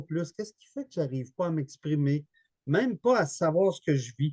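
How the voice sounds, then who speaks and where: A man speaks at a fairly high pitch and a moderate pace, with lively intonation and a Quebec accent. The sound is dry and close, with no echo. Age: 60s. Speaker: therapist and author. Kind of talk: webinar interview. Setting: online webinar.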